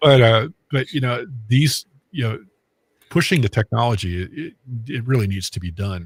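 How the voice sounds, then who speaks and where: A man at a moderate pace, somewhat breathy with lively intonation, dry and close with no echo, on a very clean recording over a silent background. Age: 60s. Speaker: medium and paranormal investigator. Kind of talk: casual interview chat. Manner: halting, many fillers.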